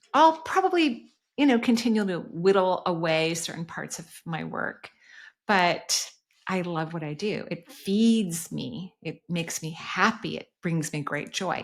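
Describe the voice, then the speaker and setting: With a plain, everyday voice, a woman of medium pitch talks at a fairly slow pace, using lively intonation and big swings in loudness. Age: 60s. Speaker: energy healer and podcast host. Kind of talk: podcast Q&A answering voicemail questions.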